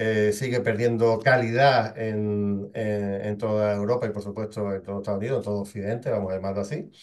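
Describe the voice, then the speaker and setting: This man speaks with fairly even intonation at a fairly low pitch. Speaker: news commentary host. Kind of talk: solo geopolitical news commentary. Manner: hesitant, many fillers and repetitions.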